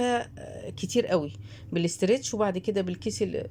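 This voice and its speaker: Her voice has a dark, mellow tone at a medium pitch for a woman. The intonation stays fairly even. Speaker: YouTube home cook reviewer. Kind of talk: product review vlog. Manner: casual, chatty.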